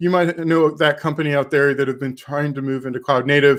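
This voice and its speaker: In a very clean recording with a silent background, a man talks with a slight Texan accent. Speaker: tech developer advocate, conference speaker. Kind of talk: conference talk. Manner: careful enunciation.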